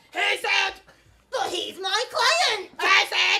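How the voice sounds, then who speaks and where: Using a squeaky put-on character voice, a woman speaks at a very slow pace with an extremely high pitch. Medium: stage play. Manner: condescending, theatrical.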